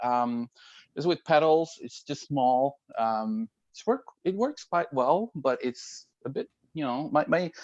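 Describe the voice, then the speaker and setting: A man's fairly high voice in a Norwegian accent, at a very slow pace, with very wide pitch swings and big swings in loudness, in a dry, close sound with no echo over a quiet background. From Norway. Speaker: IT worker. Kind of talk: casual chat. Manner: halting.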